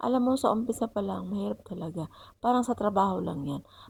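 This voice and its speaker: Soft-spoken delivery with vocal fry and lively intonation, on a very clean recording with a silent background. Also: woman. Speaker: vlogger. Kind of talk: vlog voice-over. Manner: halting.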